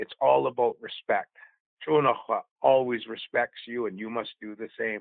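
A man speaks at a moderate pace, his volume rising and falling sharply. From northeastern Vancouver Island, Canada. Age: 50s. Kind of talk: interview storytelling. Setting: phone call.

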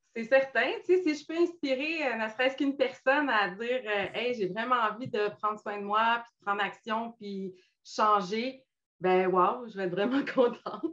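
An unremarkable speaking voice from a woman, fairly high in pitch, with lively intonation and big swings in loudness. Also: moderate pace. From Quebec, Montmagny. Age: 50s. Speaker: weight-loss client sharing her story. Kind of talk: interview testimony. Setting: live video stream.

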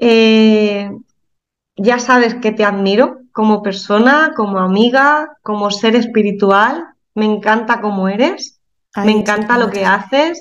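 Speaking at a fairly slow pace, a woman with a fairly high pitch shows ordinary pitch variation. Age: 30s. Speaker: physiotherapist and spiritual healer. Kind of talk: casual chat.

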